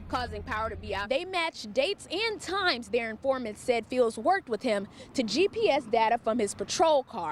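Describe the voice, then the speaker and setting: A woman speaks at a moderate pace in a high voice with very wide pitch swings, over noticeable background noise. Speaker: TV news reporter. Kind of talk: on-camera standups and voiceover news clips.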